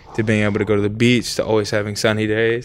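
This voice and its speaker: With an American accent, this voice moves along at a fairly quick pace. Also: man. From rural Georgia, US South. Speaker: professional football player. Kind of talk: casual interview chat.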